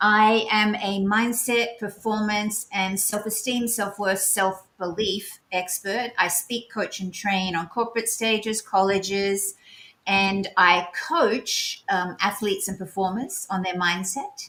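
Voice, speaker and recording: A woman speaks in an Australian accent with a bright, sharp tone and fairly even intonation. Her pace is very slow, with hardly any pauses. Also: medium pitch for a woman. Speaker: mindset coach. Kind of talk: self-introduction.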